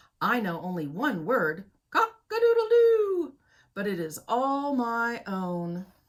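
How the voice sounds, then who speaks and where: In a put-on character voice, a woman talks fairly slowly with a fairly high pitch. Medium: read story.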